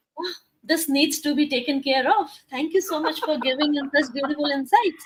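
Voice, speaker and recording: With a Punjabi accent, a woman talks at a moderate pace in a high pitch, her pitch varying in an ordinary way. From India, Rajasthan (Punjabi family). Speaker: life coach and talk show host. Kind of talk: interview talk show.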